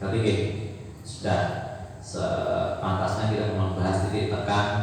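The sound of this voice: A man speaks low and fairly slowly, with vocal fry and little pitch movement. Strong room echo surrounds his voice.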